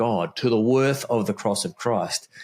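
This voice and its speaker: A man with an Australian accent, speaking at a fairly slow pace. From Australia (Melbourne). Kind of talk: casual interview conversation.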